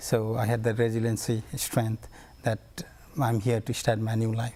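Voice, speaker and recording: This man's tone is dark and mellow, and his voice is somewhat breathy. His pitch is medium and his intonation is monotone and flat. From Bhutan, raised in Nepal refugee camp. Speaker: community engagement coordinator. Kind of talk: TV interview. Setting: TV studio.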